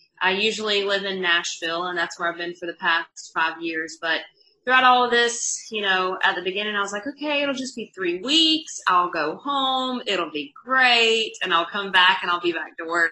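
The speech has a Southern US accent and lively intonation. It moves at a moderate pace with hardly any pauses. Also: woman, medium pitch for a woman. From North Carolina. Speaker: country music artist. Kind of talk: casual interview.

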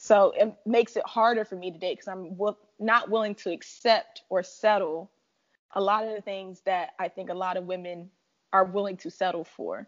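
A woman with a plain, everyday voice speaks at a medium pitch and moderate pace, her intonation fairly even while her loudness swings widely. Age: 20s. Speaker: financial analyst. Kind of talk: casual chat.

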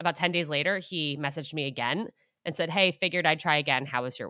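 Very clean, silent-background audio of a woman with a bright, sharp tone. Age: 20s. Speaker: dating podcast host. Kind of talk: interview.

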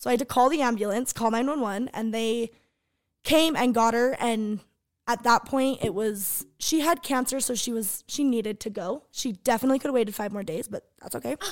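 An ordinary speaking voice in an American accent moves at a fairly quick pace with ordinary pitch variation, on a very clean recording with a silent background. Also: woman, fairly high pitch for a woman. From Sandy, Utah. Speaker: podcast co-host, hairstylist, former cheer coach. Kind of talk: casual chat.

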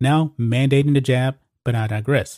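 A man speaks at a moderate pace and fairly high pitch in an ordinary speaking voice, with a dry, close sound and no echo. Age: 40s. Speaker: sports commentary host. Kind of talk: opinionated sports commentary.

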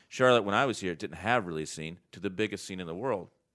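Very clean recording with a silent background of a man in an American accent, fairly low in pitch, with very wide pitch swings. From North Carolina. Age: 40s. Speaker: comedian. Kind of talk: casual chat.

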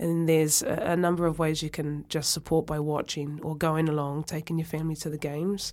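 The speaker has a New Zealand accent and a fairly quick pace. The intonation is monotone and flat. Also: woman, very deep, low pitch for a woman. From New Zealand, North Otago. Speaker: former rugby player. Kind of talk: interview.

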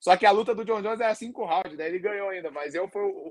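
A man's high-pitched, very fast speech with ordinary pitch variation. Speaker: MMA fighter. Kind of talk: casual chat.

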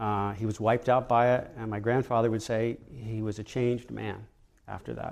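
In a very clean recording with a silent background, a man speaks at medium pitch and a moderate pace. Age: 50s. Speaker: mutual fund manager. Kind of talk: interview. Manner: halting, with many fillers.

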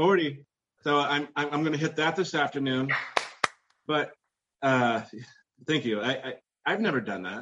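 With long, frequent pauses, a man speaks fairly slowly with ordinary pitch variation. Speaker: retail manager on weight loss journey. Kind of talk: casual interview. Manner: loud; halting, many fillers.

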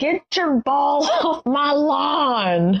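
A woman speaks in a high-pitched, put-on character voice. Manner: grumpy, shouting.

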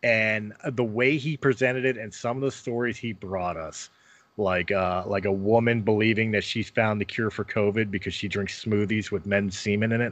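A man's fairly low, unremarkable speaking voice with an American accent and fairly even intonation. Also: moderate pace. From Philadelphia, US. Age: 40s. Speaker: podcaster and former pro wrestler. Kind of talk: casual interview chat.

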